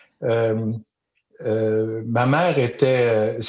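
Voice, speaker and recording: A man is speaking with a Quebec accent. His pitch sits in the medium range. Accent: Québécois French. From Quebec, Eastern Townships. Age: 60s. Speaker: storyteller and educator. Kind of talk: interview.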